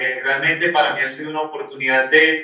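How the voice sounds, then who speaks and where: A man with a Santander Colombian accent talks in a fairly high voice, and the room echo is audible. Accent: marked Santander Colombian. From Colombia, Cúcuta (Santander region). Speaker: Franciscan friar. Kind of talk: podcast interview. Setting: remote call from Rome.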